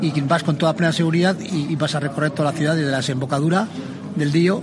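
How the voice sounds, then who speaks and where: A man talks at a very fast pace with a fairly high pitch and fairly even intonation. Background noise is noticeable. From Basque Country, San Sebastián. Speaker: cycling club leader. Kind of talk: interview.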